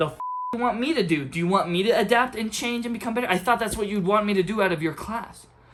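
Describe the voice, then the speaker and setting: A man speaks at a very fast pace in an animated, angry tone, his pitch high with ordinary variation. Noticeable background noise runs behind him. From outside the US. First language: not English. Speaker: community college student, vlogger. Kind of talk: rant vlog.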